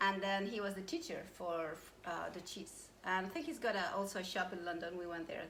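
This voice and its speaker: A woman speaks at a fairly quick pace with ordinary pitch variation. Audible room echo surrounds her voice. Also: medium pitch for a woman. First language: not English. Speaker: cooking class co-host. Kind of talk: live cooking demonstration.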